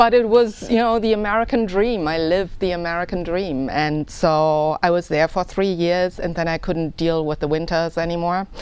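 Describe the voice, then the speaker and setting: With a German accent, a woman speaks at a fairly low pitch and a moderate pace, using ordinary pitch variation and hardly any pauses. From Germany. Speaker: political candidate. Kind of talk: interview.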